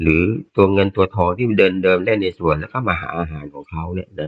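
The man here has a very deep, low pitch. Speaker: listener sharing reflections. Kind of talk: casual sharing in online Dharma session.

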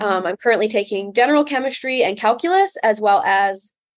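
A plain, everyday voice from a woman with an American accent, fairly high in pitch and fairly quick in pace. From US Midwest, northern Illinois. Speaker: college student. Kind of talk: interview.

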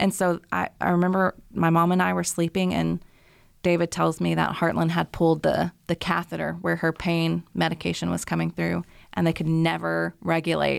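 A woman speaks at a moderate pace with very even loudness, recorded dry and close with no echo against a silent, very clean background. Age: 30s. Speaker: mother and author. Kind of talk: interview testimony.

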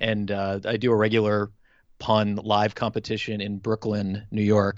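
Intonation stays flat and monotone. The accent is American. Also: man. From Milwaukee, Wisconsin, US Midwest. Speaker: pun competition champion. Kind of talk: casual chat.

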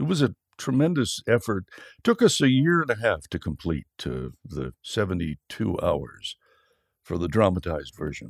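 Very wide pitch swings and vocal fry mark this moderate-paced voice with an American accent, heard in a dry, close sound with no echo. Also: man, fairly low pitch for a man. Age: 70s. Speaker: Bible narrator and voice-over artist. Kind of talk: interview. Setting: remote call from home studio.

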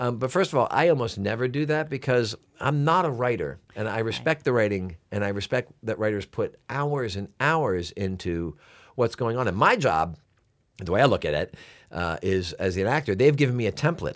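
This man has an ordinary speaking voice at a medium pitch. He speaks at a moderate pace with lively intonation. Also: very clean recording, silent background. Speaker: actor. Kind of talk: interview.

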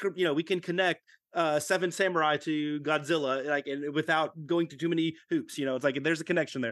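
In an unremarkable speaking voice, a man with an American accent talks at a fairly high pitch and fairly quick pace with ordinary pitch variation against a quiet background. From Texas, Fort Worth. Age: 40s. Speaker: convention organizer and toy seller. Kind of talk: casual interview chat.

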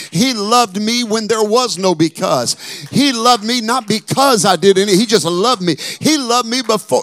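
This man talks at a moderate pace in a high voice for a man. His tone is animated, with ordinary pitch variation. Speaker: preacher. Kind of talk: sermon.

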